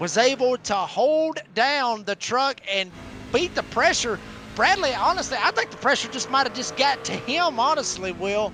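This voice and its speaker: Over music in the background, a man uses a raised, projected voice at an extremely high pitch, with ordinary pitch variation and a fairly slow pace. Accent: Southern. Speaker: sim racing color commentator. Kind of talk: live commentary.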